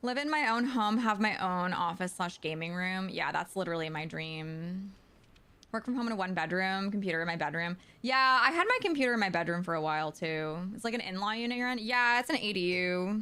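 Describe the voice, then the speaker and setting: Loud and animated, a woman speaks fairly quickly at medium pitch, with lively intonation and a bright, sharp tone. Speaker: video game streamer. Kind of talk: casual chat. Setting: live stream from home.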